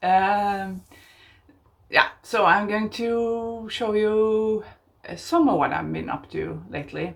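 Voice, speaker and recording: A woman speaks with a Norwegian accent. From southern Norway. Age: 50s. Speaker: craft podcaster. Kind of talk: casual chat. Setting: outdoors on balcony. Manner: halting.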